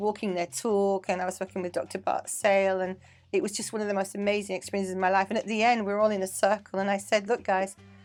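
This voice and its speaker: On a very clean recording with a silent background, a woman at medium pitch talks at a very fast pace with hardly any pauses. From England (Manchester). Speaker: dance teacher and choreographer. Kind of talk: casual interview chat. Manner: animated.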